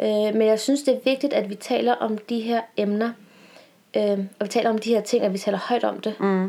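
A woman with a plain, everyday voice speaks at a moderate pace and a fairly high pitch, her intonation fairly even. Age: 20s. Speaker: podcast co-host and university student. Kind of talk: casual chat.

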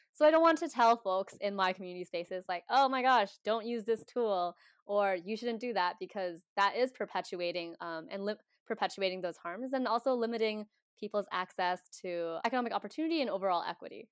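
A woman with an American accent and an ordinary speaking voice, medium in pitch, with lively intonation at a fairly quick pace, in a dry, close sound with no echo. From Washington State, US. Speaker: community organizer, podcast guest. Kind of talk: casual interview. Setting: video call.

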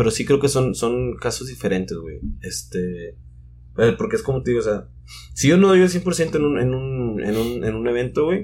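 A man's voice has a dark, mellow tone, sounds somewhat breathy, and swings very widely in pitch. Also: medium pitch for a man, moderate pace. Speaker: DJ. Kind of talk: casual chat.

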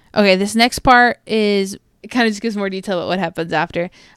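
In a dramatic tone, a woman speaks at a medium pitch with ordinary pitch variation, the sound dry and close with no echo on a very clean recording with a silent background. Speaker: podcast co-host. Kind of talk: horror story reading aloud, casual podcast. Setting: podcast recording. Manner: hushed, tense, dramatic narration with casual interjections.

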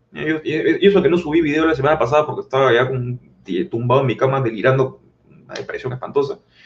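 Very fast speech from a man, fairly high-pitched for a man, with ordinary pitch variation and big swings in loudness. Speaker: political commentator. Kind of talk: casual chat.

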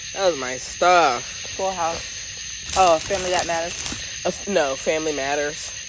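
A woman speaks in a fairly low pitch at a moderate pace, with ordinary pitch variation. Background noise is noticeable. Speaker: podcast host. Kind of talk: casual chat.

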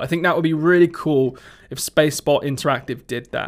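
The speaker has a Somerset accent. The recording is very clean, with a silent background. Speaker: retro gaming podcast host. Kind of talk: casual solo podcast talk. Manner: casual, filler-heavy.

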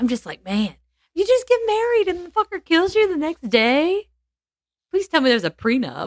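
A woman speaks at a moderate pace in an extremely high voice. Her pitch swings very widely. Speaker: podcast co-host. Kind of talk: casual chat with storytelling.

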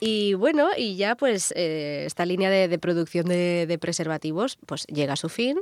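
Here a woman with a fairly low pitch speaks at a fairly slow pace with lively intonation. The sound is dry and close, with no echo. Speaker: radio show co-host. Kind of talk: casual chat, explanatory segment. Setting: radio studio. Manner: laughing, giggly.

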